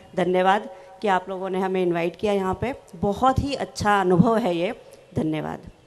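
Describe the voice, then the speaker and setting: Noticeable background noise runs beneath a woman whose pitch shifts in an ordinary way. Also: medium pitch for a woman. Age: 40s. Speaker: university professor. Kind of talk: self-introduction. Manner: formal.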